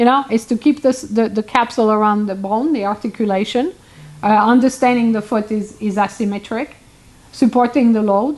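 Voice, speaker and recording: A woman speaks with a non-native accent at a fairly quick pace. Her pitch is fairly high and her intonation fairly even. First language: not English. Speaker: hoof care professional. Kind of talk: casual chat. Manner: halting.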